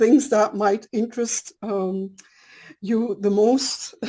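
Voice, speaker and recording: A woman's fairly high voice with a non-native accent, a dark, mellow tone, ordinary pitch variation and a fairly slow pace. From Belgium. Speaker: scientist and dowsing lecturer. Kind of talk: lecture. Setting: video call. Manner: partly reading from prepared cards; hesitant with fillers.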